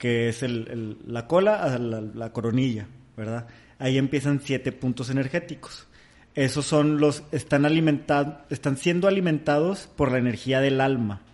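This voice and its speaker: A plain, everyday voice speaks at a fairly slow pace. Its pitch varies in an ordinary way. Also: man, medium pitch for a man. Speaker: podcast host. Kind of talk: casual chat.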